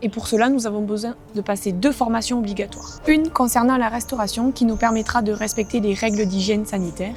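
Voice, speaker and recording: A woman in a Toulouse accent at a fairly high pitch, fairly quick and with hardly any pauses, her intonation fairly even, music in the background. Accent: Toulouse accent, noticeable. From France, Toulouse. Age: 20s. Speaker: dog café founder. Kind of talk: crowdfunding pitch.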